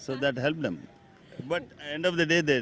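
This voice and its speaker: This man has an unremarkable speaking voice, with ordinary pitch variation and a moderate pace. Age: 60s. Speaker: lawyer cricketer, team elder. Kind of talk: post-match interview.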